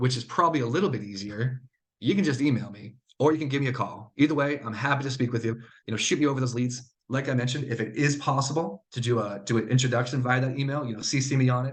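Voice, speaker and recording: Somewhat breathy, a man of medium pitch speaks at a very fast pace with ordinary pitch variation. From New England. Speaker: sales representative. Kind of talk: webinar presentation.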